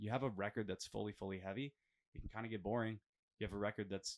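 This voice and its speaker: The speaker has a Western Canadian accent. The recording is very clean, with a silent background. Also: man. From Alberta, Canada. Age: 30s. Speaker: metal band vocalist. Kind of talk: casual interview. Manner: animated, with frequent fillers.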